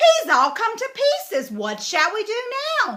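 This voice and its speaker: A woman performs a squeaky put-on character voice at an extremely high pitch, with very wide pitch swings and a fairly slow pace. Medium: read story. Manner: ponderous, starts with a thoughtful hum.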